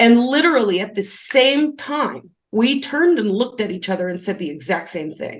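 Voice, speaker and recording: A loud woman with a fairly high pitch speaks at a moderate pace with hardly any pauses. Her tone is animated, and her pitch swings very widely. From grew up on a farm. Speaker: spiritual business coach and numerologist. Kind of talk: podcast interview.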